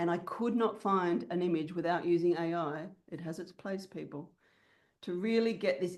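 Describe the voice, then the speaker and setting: A woman with an Australian accent, ordinary pitch variation, and a quiet background. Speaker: business mentor. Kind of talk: online workshop.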